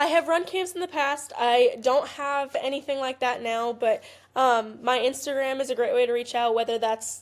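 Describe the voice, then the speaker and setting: Delivered at a moderate pace, the speech carries an American accent. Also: woman. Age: 20s. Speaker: college softball player. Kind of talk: podcast interview.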